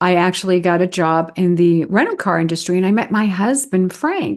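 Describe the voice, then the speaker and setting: A woman with an American accent and an unremarkable speaking voice talks at a fairly quick pace and medium pitch against a quiet background. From New York City (Bronx). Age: 60s. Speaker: wedding officiant and dating coach. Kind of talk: podcast interview.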